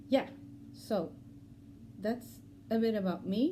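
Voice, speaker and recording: A woman speaks with a Swedish accent in a dark, mellow tone. Her pitch varies in an ordinary way. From Sweden. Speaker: cross-stitch vlogger. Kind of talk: casual vlog talk. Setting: at home. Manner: halting, many fillers.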